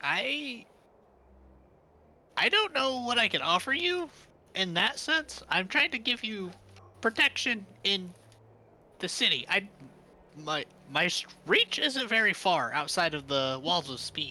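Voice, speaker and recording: A put-on character voice, fairly high in pitch, moves at a fairly slow pace with very wide pitch swings and long, frequent pauses. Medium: actual play. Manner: stammering, rambling, flustered.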